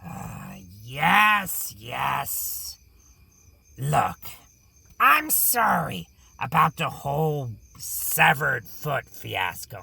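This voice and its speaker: A raspy, put-on character voice moves at a very slow pace, broken by long, frequent pauses. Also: man, fairly high pitch for a man. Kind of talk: horror radio show hosting. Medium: audio drama.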